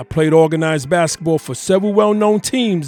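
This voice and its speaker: Background music behind a man's moderately paced speech. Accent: New York. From Harlem, New York. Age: 50s. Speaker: sports podcast host. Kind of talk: sports opinion podcast talk.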